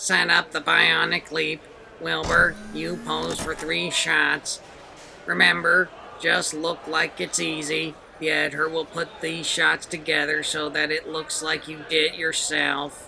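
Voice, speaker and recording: A man performs a put-on character voice at a fairly slow pace. Background noise is clearly heard. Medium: read story. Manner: bossy, barking orders.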